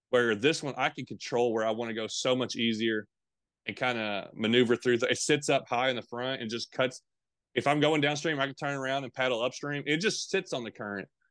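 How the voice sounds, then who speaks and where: In a dry, close recording with no echo and a quiet background, a man with a Tennessee accent speaks fairly quickly at a medium pitch with ordinary variation. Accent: Southern US (Tennessee). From Middle and East Tennessee. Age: 30s. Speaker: fishing YouTuber. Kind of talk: casual interview.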